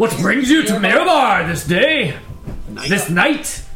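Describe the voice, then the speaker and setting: Putting on a character voice, a man talks fairly slowly at an extremely high pitch with very wide pitch swings over clear background noise. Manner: challenging, greeting.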